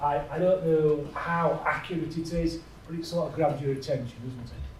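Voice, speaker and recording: A fairly high-pitched man with a northern English accent, talking at a fairly slow pace amid audible room echo. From northern England. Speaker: health IT executive. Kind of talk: conference presentation. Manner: halting.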